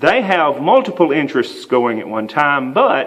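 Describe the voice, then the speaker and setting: Over noticeable background noise, a man with a Southern US accent and a fairly high voice makes very wide pitch swings. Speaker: writing instructor. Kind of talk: lecture. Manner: frequent fillers (uh, um).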